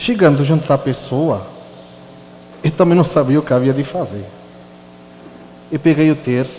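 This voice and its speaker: Fairly slow speech in a European Portuguese accent. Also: man. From Portugal. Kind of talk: sermon with personal testimony.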